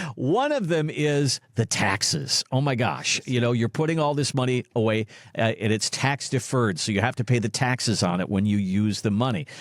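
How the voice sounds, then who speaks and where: In an ordinary speaking voice, a man talks at a medium pitch and a moderate pace with ordinary pitch variation, very even loudness and hardly any pauses, in a dry, close sound with no echo. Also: very clean recording, silent background. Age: 60s. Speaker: podcast co-host. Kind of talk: casual chat.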